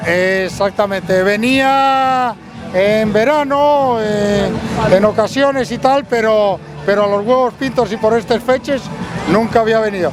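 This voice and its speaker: With an Asturian accent, a man talks at a fairly slow pace in a high voice, his loudness very even and his pitch varying normally. Music plays in the background. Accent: Asturian, kept after decades in Mexico. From Asturias, Spain. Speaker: emigrant visiting home festival. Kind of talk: street interview.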